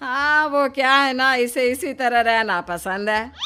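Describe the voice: Slowly and in a cartoonish character voice, a woman speaks with a high pitch, a bright, sharp yet clear, smooth tone and fairly even intonation.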